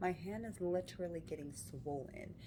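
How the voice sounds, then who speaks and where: A woman whispers quietly at a moderate pace, with vocal fry. Audible room echo surrounds her voice. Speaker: vlogger. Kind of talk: casual vlog storytelling. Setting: hospital room. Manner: whispering, quiet.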